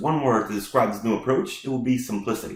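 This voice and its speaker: A somewhat breathy male voice at a medium pitch. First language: not English. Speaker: IT consultant. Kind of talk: tech tutorial with live demo. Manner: casual, with frequent fillers.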